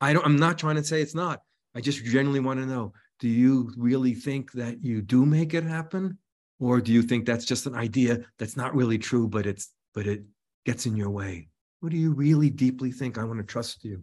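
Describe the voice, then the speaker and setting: A man with an unremarkable speaking voice at a medium pitch talks at a fairly quick pace with ordinary pitch variation over a quiet background. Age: 60s. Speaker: psychology teacher and author. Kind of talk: interview conversation.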